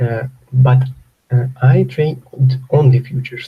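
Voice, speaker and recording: Somewhat breathy and dark, mellow in tone, a man with a Ukrainian accent speaks in a medium pitch with fairly even intonation. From Ukraine. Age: 30s. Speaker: trader. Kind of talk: live webinar Q&A. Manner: halting.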